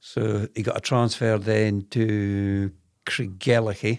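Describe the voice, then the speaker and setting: The recording is very clean with a silent background as a man speaks in a flat, monotone way. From Moray, northeast Scotland (Speyside). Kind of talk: casual chat.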